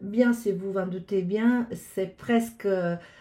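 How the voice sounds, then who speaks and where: A woman's somewhat breathy, dark, mellow voice at a very slow pace. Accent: Italian. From Italy. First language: Italian (speaking French). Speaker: astrologer. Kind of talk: casual address to viewers. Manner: halting, many hesitations.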